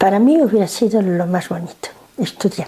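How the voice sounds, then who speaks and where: Noticeable background noise runs under the recording. A woman speaks at a medium pitch and a fairly slow pace. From northern Morocco (Nador, Spanish protectorate). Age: 70s. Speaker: interviewee grandmother. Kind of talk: family interview. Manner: halting.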